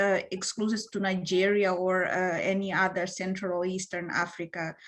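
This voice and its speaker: The speaker talks at a fairly slow pace in a Portuguese accent. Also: woman. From Mozambique. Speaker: panelist. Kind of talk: panel discussion. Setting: online video panel. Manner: halting, many fillers.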